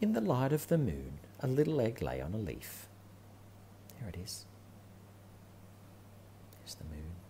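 Speaking at a moderate pace with long, frequent pauses, a man uses a fairly low, dark, mellow voice with vocal fry, very wide pitch swings, and big swings in loudness. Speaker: parent reading to children. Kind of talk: children's picture book read-aloud. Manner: warm, animated.

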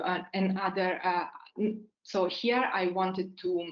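A woman's fairly low voice at a fairly slow pace

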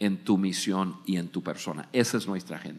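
An American-accented man at a fairly slow pace, over a quiet background. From United States. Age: 60s. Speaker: podcast host. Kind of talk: live podcast talk. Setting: studio with live audience. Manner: halting, repeats words. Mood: warm, motivating. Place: stage. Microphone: studio mic.

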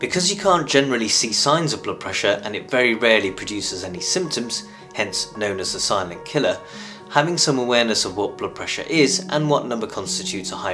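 Over clear background music, a man talks at a very fast pace, his loudness swinging widely. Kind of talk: health explainer to camera. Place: home room.

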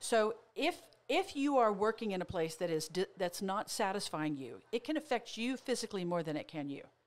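Speaking at a moderate pace, a woman uses a medium pitch with very wide pitch swings. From Oklahoma. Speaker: motivational speaker and therapist; motivational speaker. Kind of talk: casual chat. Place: studio. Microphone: studio mic.

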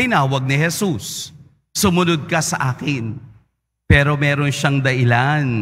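A man's fairly high-pitched voice at a fairly slow pace. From Philippines. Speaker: priest giving a homily. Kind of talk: preacher's homily, explaining the Gospel to a congregation. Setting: church. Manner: animated, conversational, rhetorical questions and repetition for emphasis. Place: church. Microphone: podium.

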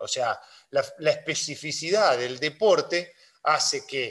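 Against a background that stays quiet, a man is talking. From Argentina. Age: 40s. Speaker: sports medicine doctor; physician lecturer. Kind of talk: online lecture. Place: home room. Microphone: video call.

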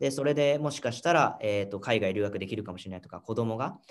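A man at a very fast pace with lively intonation. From Japan. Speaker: startup founder; guest. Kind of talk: interview. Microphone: video call.

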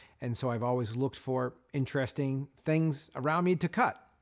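Against a quiet background, a man speaks at a fairly quick pace with ordinary pitch variation. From Canada, Nova Scotia. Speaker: master bladesmith and knife company owner. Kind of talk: interview. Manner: measured with frequent fillers. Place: workshop.

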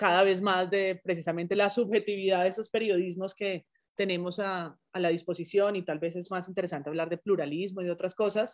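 A woman talks at a moderate pace. Nothing much stirs in the quiet background. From Colombia. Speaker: journalism professor. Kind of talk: interview conversation. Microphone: video call.

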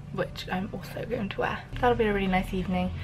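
Over faint music in the background, a woman talks at a fairly quick pace with a fairly bright tone and fairly low pitch.

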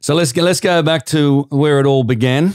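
On a very clean recording with a silent background and a dry, close sound with no echo, a man with an Australian accent speaks at a moderate pace with ordinary pitch variation. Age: 50s. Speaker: podcast host. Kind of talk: casual interview chat.

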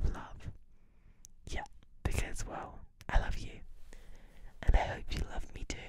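A woman is heard. She is whispering. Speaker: ASMR creator. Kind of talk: soft intimate ASMR chat. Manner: soft close-mic ASMR talking in bed. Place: home room. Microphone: studio mic.

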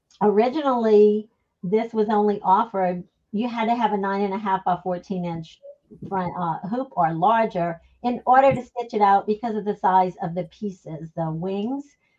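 A woman speaks in a dark, mellow tone at a moderate pace. Her pitch variation is ordinary. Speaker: guest. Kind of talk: interview answer. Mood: cheerful, enthusiastic.

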